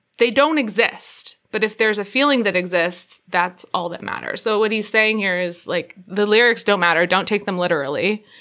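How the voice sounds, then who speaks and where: With ordinary pitch variation, an ordinary speaking voice keeps to a moderate pace. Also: woman, medium pitch for a woman. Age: younger than the hosts. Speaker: podcast guest. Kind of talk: casual chat.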